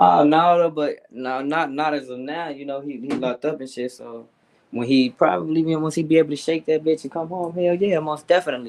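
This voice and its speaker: A man talking at a fairly quick pace, with big swings in loudness and ordinary pitch variation. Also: fairly high pitch for a man. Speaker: rapper. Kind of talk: casual interview. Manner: fast-talking.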